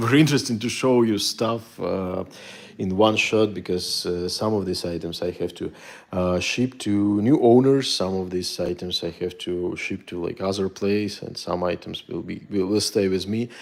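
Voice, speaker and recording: A man talks at a moderate pace, and his pitch shifts in an ordinary way. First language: Russian. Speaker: military antiques collector and dealer. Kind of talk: casual video monologue to viewers. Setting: home studio. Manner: halting with many fillers.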